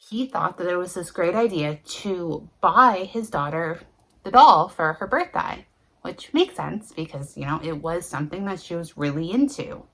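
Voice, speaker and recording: An ordinary speaking voice with lively intonation. Its loudness swings widely. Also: woman, fairly low pitch for a woman, moderate pace. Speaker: paranormal storyteller. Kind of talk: casual talk to camera. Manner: conversational.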